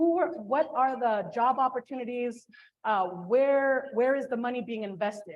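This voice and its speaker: A woman talks loudly at a moderate pace, her high pitch showing ordinary variation. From Filipino heritage. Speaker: port commissioner. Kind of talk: panel discussion.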